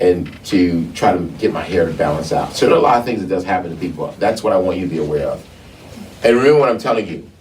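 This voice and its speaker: A man's very fast speech with lively intonation, noticeable background noise and audible room echo. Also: fairly low pitch for a man. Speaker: talk show host and herbalist. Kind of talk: casual discussion. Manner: halting, repeats words.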